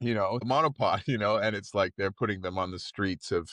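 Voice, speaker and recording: Against a quiet background, a man speaks in a bright, sharp tone, the sound dry and close with no echo. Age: 30s. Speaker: teacher and forest protester. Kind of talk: podcast interview answer. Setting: in a car at protest camp.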